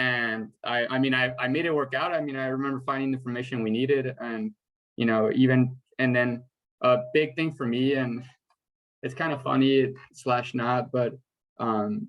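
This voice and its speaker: Fairly even intonation with a Spanish accent. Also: man, medium pitch for a man, moderate pace. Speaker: first-generation college graduate panelist. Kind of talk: panel discussion on video call.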